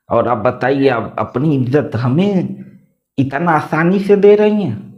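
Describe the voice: The voice moves at a slow pace with ordinary pitch variation and audible room echo. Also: man, medium pitch for a man.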